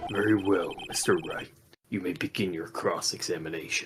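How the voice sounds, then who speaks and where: A put-on character voice at a moderate pace. Faint music plays in the background. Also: man. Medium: game stream.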